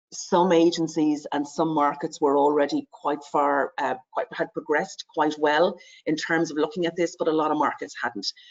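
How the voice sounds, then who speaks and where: The speaker has an Irish accent. The pace is moderate. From Ireland. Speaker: advertising industry sustainability lead. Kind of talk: webinar presentation. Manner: many filler words and hesitations.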